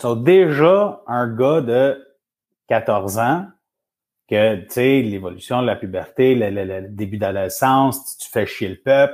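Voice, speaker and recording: Very slowly, a man speaks at a medium pitch with big swings in loudness. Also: lively intonation. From Montreal, Quebec. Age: 40s. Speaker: men's support group founder and coach. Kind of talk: casual interview. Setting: live stream.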